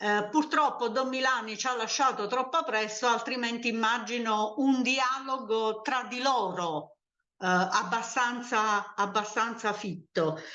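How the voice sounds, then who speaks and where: Very slowly and with ordinary pitch variation, a woman speaks in a room with audible echo. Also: fairly high pitch for a woman. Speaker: sociologist. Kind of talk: academic talk. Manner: hesitant, many fillers.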